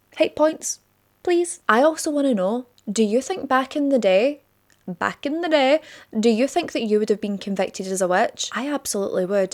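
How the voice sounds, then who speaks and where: In a Scottish accent, a woman speaks at a moderate pace with a high pitch, very wide pitch swings and an animated tone, in a very clean recording with a silent background. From Scotland. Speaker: true crime youtuber. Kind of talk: casual vlog-style monologue. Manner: chatty, animated.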